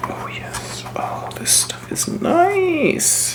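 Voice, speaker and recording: The speaker whispers at a very slow pace in a relaxed tone. Noticeable background noise sits underneath. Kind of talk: soft-spoken crafting ASMR narration to camera. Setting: home crafting video, close mic. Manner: soft-spoken, relaxed, casual.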